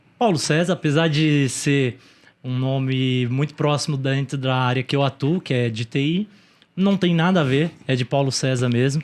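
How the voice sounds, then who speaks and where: A man with a fairly high pitch and a plain, everyday voice, ordinary pitch variation, a moderate pace, and a quiet background. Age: 30s. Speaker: e-commerce entrepreneur. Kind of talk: interview.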